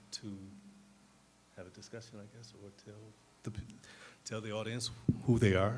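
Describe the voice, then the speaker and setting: A man with an American accent speaks at a fairly quick pace in a fairly low, flat monotone, with audible room echo. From Detroit. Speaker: panel moderator, community organizer. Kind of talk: moderated panel discussion. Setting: stage with audience, handheld mic. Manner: not loud.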